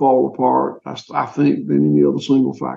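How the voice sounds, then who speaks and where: With a Southern US accent, a man is talking. He keeps a moderate pace. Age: 60s. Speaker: farmer. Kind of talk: interview. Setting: remote call from a rural old courthouse. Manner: halting.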